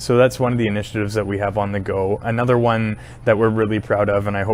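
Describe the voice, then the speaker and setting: Speaking with a Canadian accent, a man talks at a fairly quick pace with fairly low pitch and lively intonation over noticeable background noise. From British Columbia, Canada (Powell River). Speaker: university administrator. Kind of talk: interview. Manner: hesitant, with frequent fillers.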